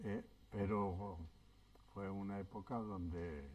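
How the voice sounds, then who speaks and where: Speaking with a Basque accent, a man uses a fairly low-pitched voice. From Basque Country, childhood exile in France. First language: Basque (speaking Spanish). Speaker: exile witness. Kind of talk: oral history interview. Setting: public event panel. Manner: hesitant.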